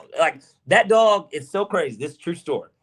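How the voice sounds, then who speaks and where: An animated man with an American accent speaks at a high pitch. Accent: Southern accent, sounds country to others. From US South, Georgia. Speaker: sports podcast co-host. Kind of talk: casual chat.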